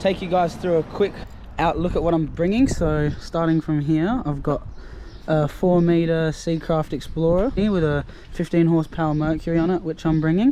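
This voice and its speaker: Fairly high in pitch, a man speaks with an Australian accent. His pace is moderate. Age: 20s. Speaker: travel vlogger. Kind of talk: casual vlog narration.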